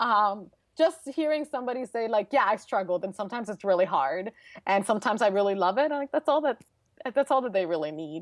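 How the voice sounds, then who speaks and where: Speaking very fast with a Brooklyn accent, a woman with a fairly high voice swings very widely in pitch, recorded dry and close with no echo against a quiet background. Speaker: transportation engineer and speaker. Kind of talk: interview conversation. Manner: casual, filler-heavy.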